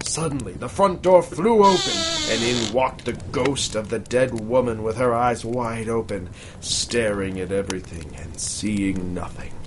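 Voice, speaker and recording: Over noticeable background noise, a man speaks at a fairly slow pace with lively intonation and a medium pitch. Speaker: podcast host. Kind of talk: ghost story reading aloud by candlelight; casual comedic banter. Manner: dramatic, hushed storyteller delivery, building suspense.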